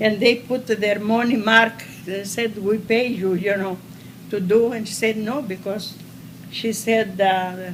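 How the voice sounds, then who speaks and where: Amid noticeable background noise and audible room echo, a woman speaks at a fairly slow pace in a medium pitch with fairly even intonation. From Crete, Greece. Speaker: war survivor. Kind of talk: oral history interview. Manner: halting.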